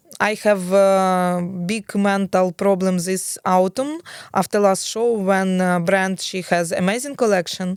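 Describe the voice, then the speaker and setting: A woman with a Ukrainian accent speaks at a fairly slow pace, her pitch medium and her intonation fairly even. The recording is very clean with a silent background, and the sound is dry and close with no echo. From Ukraine. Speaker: fashion and PR professional. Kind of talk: interview answer.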